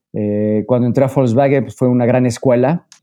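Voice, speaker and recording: A man with a central Mexican accent speaks at a moderate pace in a medium-pitched voice with a dark, mellow tone. His intonation is fairly even, and the background is quiet. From Mexico, Puebla. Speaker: mountaineer and renewable energy consultant. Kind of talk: interview.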